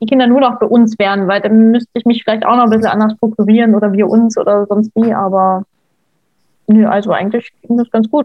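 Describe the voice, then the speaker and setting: A woman talks at a fairly high pitch in monotone, flat intonation. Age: 20s. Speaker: stepmother sharing her experience. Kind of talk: casual interview.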